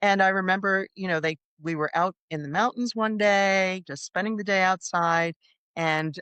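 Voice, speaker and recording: At a moderate pace and medium pitch, a woman speaks in an unremarkable speaking voice with ordinary pitch variation over a quiet background. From US Northeast. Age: 60s. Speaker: psychotherapist. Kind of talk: interview.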